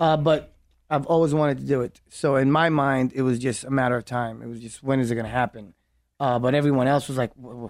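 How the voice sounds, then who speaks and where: A man with a New York accent at a very fast pace, his intonation fairly even, on a very clean recording with a silent background. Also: medium pitch for a man. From New York, Brooklyn. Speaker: actor and filmmaker. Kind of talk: casual interview. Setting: studio.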